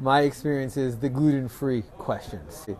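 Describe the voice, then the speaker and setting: A man with a New York accent and fairly high pitch speaks at a moderate pace with ordinary pitch variation. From New York, Rockland County. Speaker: restaurant owner. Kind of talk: interview. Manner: casual, with many fillers.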